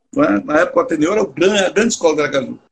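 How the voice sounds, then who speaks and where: The man's pace is fairly quick. He speaks with lively intonation. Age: 60s. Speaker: theatre actor. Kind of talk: casual chat.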